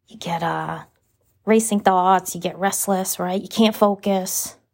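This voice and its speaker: Over a silent background in a very clean recording, a woman speaks fairly slowly at a medium pitch with monotone, flat intonation. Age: 30s. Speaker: podcast host. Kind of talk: casual solo monologue. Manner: casual, laughing often.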